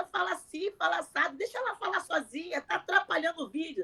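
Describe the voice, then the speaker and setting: A woman uses a raised, projected voice at an extremely high pitch, with very wide pitch swings. Her tone is bright and sharp, and her pace fairly quick. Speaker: content creator, mother. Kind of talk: interview. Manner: fast.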